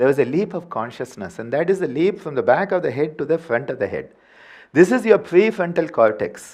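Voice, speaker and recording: With a Tamil accent, a man speaks at a fairly quick pace in a high voice that swings very widely in pitch over a quiet background. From India, Tamil Nadu. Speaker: yoga teacher. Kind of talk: workshop lecture. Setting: workshop with live audience. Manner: animated, playful vocal sounds.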